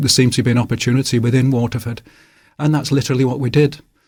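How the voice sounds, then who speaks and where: In a strong Manchester accent, a man speaks at a medium pitch with fairly even intonation. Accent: Manchester accent, kept strong. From northern England, Salford, Manchester. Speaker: author. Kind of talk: radio interview. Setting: radio studio.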